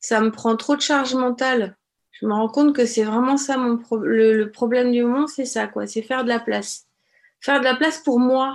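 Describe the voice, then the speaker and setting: A woman speaks at a moderate pace in a high voice. Her intonation stays fairly even against a quiet background. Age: 40s. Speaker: childminder. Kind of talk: testimony. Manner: halting, many hesitations.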